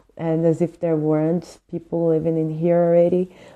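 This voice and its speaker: A woman with a Portuguese accent speaks at a moderate pace in a fairly low, dark, mellow voice. Her intonation is monotone and flat, against a quiet background. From Brazil. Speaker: book reviewer. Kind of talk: book review monologue. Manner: hesitant with fillers.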